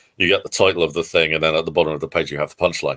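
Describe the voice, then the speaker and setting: The man's very deep, low voice stays monotone and flat, in a dry, close sound with no echo. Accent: English. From southern England, near Guildford. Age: 40s. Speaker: comic book creator. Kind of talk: interview. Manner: halting, many fillers.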